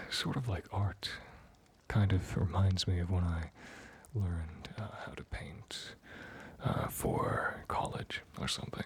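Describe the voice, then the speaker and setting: A man whispers at a very slow pace against noticeable background noise. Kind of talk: ASMR chat. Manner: whispered, soft-spoken.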